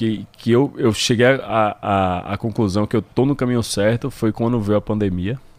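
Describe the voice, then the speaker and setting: At a fairly slow pace, a plain, everyday voice speaks with fairly even intonation and hardly any pauses. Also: man, medium pitch for a man. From Brazil, Salvador, Bahia. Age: 30s. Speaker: gym owner. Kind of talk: interview.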